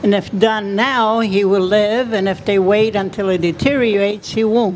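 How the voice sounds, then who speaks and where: Fairly high female pitch, with noticeable background noise behind it. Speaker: activist. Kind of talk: rally speech. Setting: outdoors at a rally.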